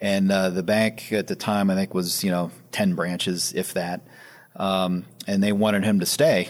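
Over a silent background in a very clean recording, a man speaks in an ordinary speaking voice, fairly low in pitch, at a moderate pace with fairly even intonation. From Western Pennsylvania (Sharon). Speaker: private equity founder. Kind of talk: interview. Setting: office.

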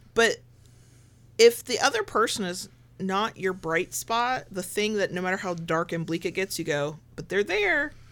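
Here a woman talks with a medium pitch. Her pace is fairly slow. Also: lively intonation. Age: 40s. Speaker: podcast host. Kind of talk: casual chat. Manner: animated.

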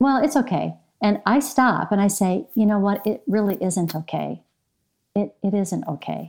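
A woman with an American accent, medium pitch and some vocal fry, lively intonation at a moderate pace, on a very clean recording with a silent background. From US Midwest, Michigan. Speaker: women's ministry speaker. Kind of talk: interview.

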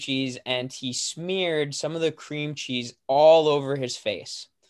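A man speaks at a fairly slow pace. His intonation is flat and monotone. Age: young. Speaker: author and speaker. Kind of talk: interview.

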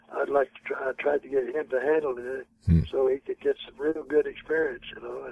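Fairly quick and marked by big swings in loudness, a man speaks with an American accent against noticeable background noise. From Oklahoma, US.

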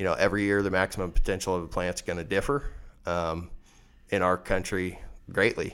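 With a Midwestern US accent, a man with a very deep, low pitch talks at a fairly quick pace, his intonation fairly even and broken by long, frequent pauses, on a very clean recording with a silent background. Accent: rural Midwestern American. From west central Kansas. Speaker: farmer and seed seller. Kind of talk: interview.

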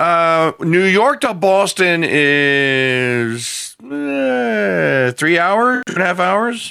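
Speaking very slowly with hardly any pauses, a man with an American accent has a fairly high pitch and a bright, sharp tone. His pitch swings very widely. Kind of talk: casual chat.

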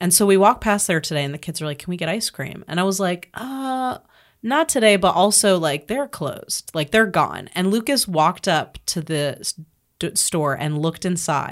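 On a very clean recording with a silent background, a woman with a normal speaking voice and an American accent talks at a moderate pace, her medium pitch carrying lively intonation. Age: 30s. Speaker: podcast host. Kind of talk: casual chat.

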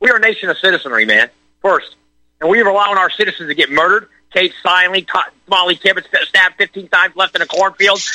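A man with an American accent, high pitch, lively intonation, very even loudness and a very fast pace. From Florida. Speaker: caller. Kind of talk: heated rant. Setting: phone call.

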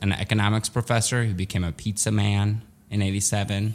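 A man with a Midwestern accent, a fairly low pitch and a moderate pace. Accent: American Midwest. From Chicago area (Skokie), born in Soviet Russia. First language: Russian. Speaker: improv comedian. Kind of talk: casual interview.

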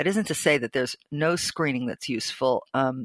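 The voice has lively intonation, in a very clean recording with a silent background. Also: woman, dry, close sound with no echo. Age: 60s. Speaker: investigative medical journalist, former physician assistant. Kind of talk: interview.

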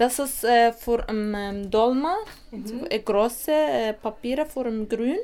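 A woman's fairly high, dark and mellow voice at a fairly slow pace, with ordinary pitch variation. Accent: Arabic. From Iraq. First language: Arabic (speaking German). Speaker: meeting participant. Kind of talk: interview. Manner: halting.

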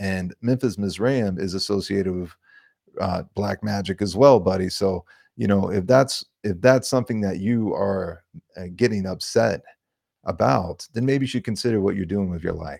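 A man with an unremarkable speaking voice talks at a moderate pace, fairly low in pitch with ordinary pitch variation. The recording is very clean, with a silent background. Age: younger than 60. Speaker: podcast host. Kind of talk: casual interview chat. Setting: at home.

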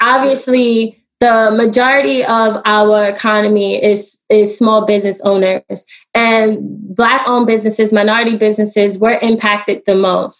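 With an American accent and a plain, everyday voice, a woman speaks at a moderate pace in a fairly high pitch, her loudness very even and her intonation fairly even. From US Northeast, Brooklyn New York. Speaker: solar energy entrepreneur. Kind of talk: interview.

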